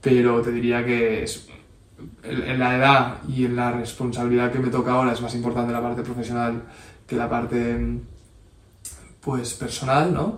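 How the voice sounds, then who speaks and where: Amid audible room echo, a man speaks at a moderate pace and medium pitch in a monotone, flat intonation, with long, frequent pauses. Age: 30s. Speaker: entrepreneur and amateur rally racer. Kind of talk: interview.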